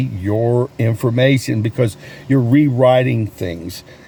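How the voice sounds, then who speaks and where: A man talks fairly slowly. His voice sits at a middle pitch. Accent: Southern US. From US South, North Carolina. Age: 60s. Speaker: sales coach and realtor vlogger. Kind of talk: casual vlog talk. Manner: animated.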